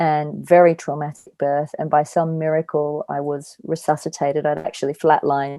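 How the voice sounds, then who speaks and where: With an Australian accent, a woman with a very deep, low voice talks at a moderate pace in a monotone, flat delivery. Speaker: angel communicator and spiritual healer. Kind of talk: podcast interview.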